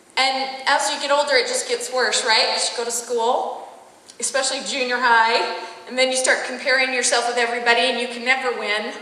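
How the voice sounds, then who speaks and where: A woman with an American accent projects a raised voice at high pitch and a moderate pace, amid noticeable background noise and audible room echo. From Utah. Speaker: corporate trainer and life coach. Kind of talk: corporate training talk.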